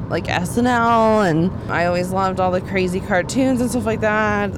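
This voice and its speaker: A woman at a medium pitch with an American accent and lively intonation, amid audible room echo and noticeable background noise. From Texas, Dallas. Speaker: comedian. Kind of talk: casual chat. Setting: in a car.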